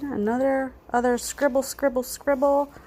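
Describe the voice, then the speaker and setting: A woman with a high-pitched yet dark, mellow voice speaks in a flat monotone at a fairly slow pace. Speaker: planner vlogger. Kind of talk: casual chat. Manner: hesitant, many fillers.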